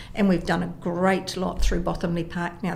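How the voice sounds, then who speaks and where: A woman with a New Zealand accent and a fairly low pitch speaks with audible room echo and noticeable background noise. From New Zealand, Porirua. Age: 60s. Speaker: mayor and election candidate. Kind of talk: radio interview.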